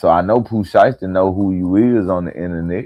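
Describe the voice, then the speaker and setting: Very deep, low male speech at a moderate pace, with ordinary pitch variation. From Mississippi. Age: 30s. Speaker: hip-hop news commentator. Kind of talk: live stream commentary. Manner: animated.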